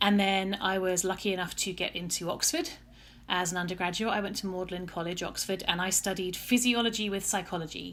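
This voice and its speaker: With a southern English accent, a woman at medium pitch talks at a fairly quick pace with fairly even intonation. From England, Essex (Chelmsford). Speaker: scientist, research program director. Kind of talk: podcast interview.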